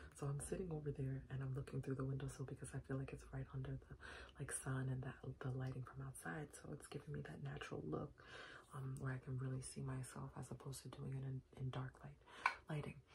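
A woman whispers very fast in a soft-spoken voice over light background noise. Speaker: beauty vlogger. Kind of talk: casual makeup tutorial. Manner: soft ASMR whisper-talk. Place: home room. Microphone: phone near.

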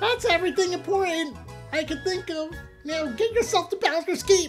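A squeaky, put-on character voice speaks at a moderate pace. Clear music plays in the background. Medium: game stream.

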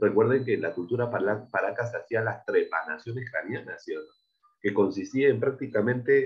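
Over a quiet background, the man speaks at a moderate pace. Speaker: primary school teacher. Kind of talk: lecture. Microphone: video call.

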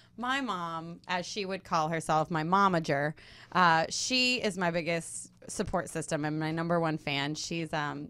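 Speaking at a fairly slow pace, a woman uses a fairly low pitch with a bright, sharp tone and ordinary pitch variation. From Louisiana, Baton Rouge; Louisiana. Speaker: actress and singer; actress. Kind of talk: interview. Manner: hesitant, with fillers. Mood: warm, smiling. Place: studio. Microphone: studio mic.

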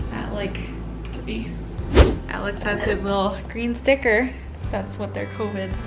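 Music plays in the background while a woman talks. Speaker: expectant mother vlogger. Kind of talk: casual vlog chat. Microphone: phone near.

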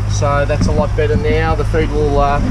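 A man talks at a moderate pace while loud background noise plays. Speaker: fishing channel host. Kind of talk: casual vlog chat. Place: boat. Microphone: phone near.

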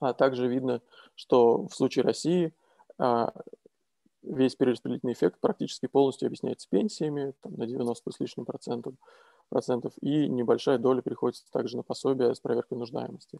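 Delivered at a fairly quick pace with long, frequent pauses, the dark, mellow voice shows ordinary pitch variation in a dry, close sound with no echo. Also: man, medium pitch for a man. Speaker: economist. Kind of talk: academic presentation. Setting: video call.

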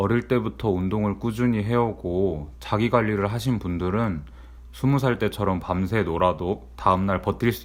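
Lively intonation runs through this man's very deep, low voice. He keeps a moderate pace. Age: 30s. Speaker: office worker vlogger. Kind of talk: personal vlog monologue.

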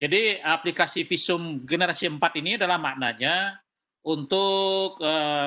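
A man speaks at a very slow pace in a high, bright, sharp voice with ordinary pitch variation. The background is quiet. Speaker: senior government official. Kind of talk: meeting address. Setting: video call. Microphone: video call.

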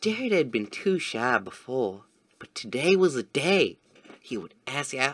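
A plain reading aloud of text

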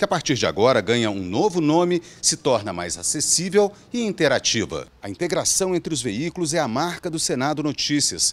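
In a Brazilian accent, a man with a fairly high pitch and vocal fry swings his pitch very widely at a moderate pace. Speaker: news reporter. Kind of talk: scripted narration. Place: office. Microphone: handheld.

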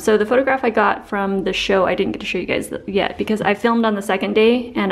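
This woman's intonation stays fairly even while she talks at a moderate pace. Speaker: lifestyle vlogger. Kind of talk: casual vlog chat. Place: home room. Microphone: phone near.

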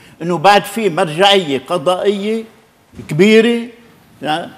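The pace here is very slow. It is a man's voice. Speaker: veteran MP; interview guest. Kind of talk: TV political interview. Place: studio. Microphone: lapel.

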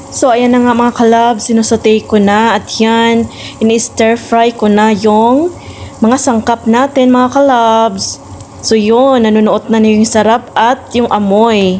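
A woman with a Visayan accent speaks at a fairly slow pace and a fairly high pitch, her loudness very even. Noticeable background noise runs behind her. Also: fairly even intonation. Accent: Visayan accent in Tagalog. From Visayas, Philippines. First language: Cebuano (Bisaya) (speaking Tagalog). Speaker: cooking vlogger. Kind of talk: cooking tutorial vlog. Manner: casual, with fillers.

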